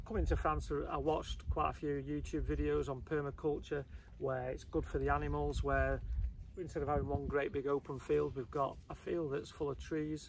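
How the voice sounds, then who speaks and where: Light background noise behind a man's moderate pace. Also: dry sound with no echo. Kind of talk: casual vlog chat. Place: open country.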